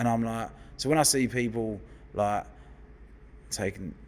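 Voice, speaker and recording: In a London accent, a man with a fairly low pitch speaks in an animated tone. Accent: London geezer, football lad. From West London, England. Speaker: hairdresser. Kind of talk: casual chat.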